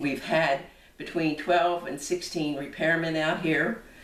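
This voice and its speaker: A fairly slow pace and fairly even intonation, with audible room echo and noticeable background noise. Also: woman. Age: 80s+. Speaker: consumer complaining about appliance. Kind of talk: personal testimony to camera. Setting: home kitchen. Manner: halting, self-correcting.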